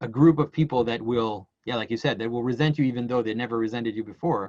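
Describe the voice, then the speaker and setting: A man speaks with a Quebec accent at a medium pitch. His pace is very fast, with ordinary pitch variation. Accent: French Canadian accent in English. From Quebec, Canada. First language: French. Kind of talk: casual conversation. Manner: halting, many repetitions.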